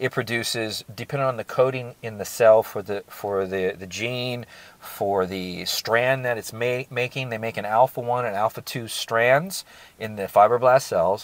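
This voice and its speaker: A man speaks at a moderate pace and medium pitch, with ordinary pitch variation and big swings in loudness. The sound is dry with no echo. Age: 50s. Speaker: supplement reviewer. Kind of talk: product review. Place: car. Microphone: lapel.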